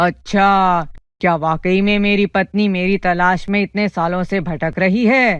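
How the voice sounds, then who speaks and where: A woman puts on a cartoonish character voice at medium pitch, speaking fairly slowly. The background is quiet. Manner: gruff, threatening.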